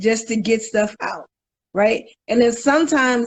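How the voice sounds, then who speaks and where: Somewhat breathy, a woman's voice rests at a fairly high pitch. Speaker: spoken word poet. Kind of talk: casual interview chat. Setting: live video stream.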